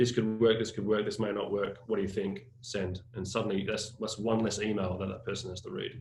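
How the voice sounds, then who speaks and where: A man with a fairly low pitch talks at a very fast pace in a flat monotone, somewhat breathy, with audible room echo. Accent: Australian. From Australia. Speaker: creative agency staff. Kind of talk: webinar panel discussion. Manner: halting, many fillers.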